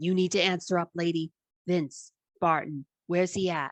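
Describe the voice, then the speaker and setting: Using a put-on character voice, a woman growls at a fairly low pitch and moderate pace, with monotone, flat intonation and very even loudness. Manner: threatening.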